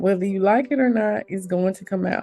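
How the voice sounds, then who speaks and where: With a Southern US accent, a woman at medium pitch sounds animated and shows ordinary pitch variation. Music plays in the background. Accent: Southern US country dialect. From Mississippi. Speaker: podcast host. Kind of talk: motivational podcast talk.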